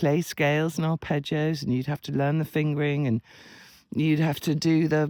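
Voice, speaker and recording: A man with a fairly high pitch speaks at a moderate pace in a dry, close sound with no echo and a very clean recording with a silent background. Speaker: writer and writing coach. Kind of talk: casual talk to camera. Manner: rambling.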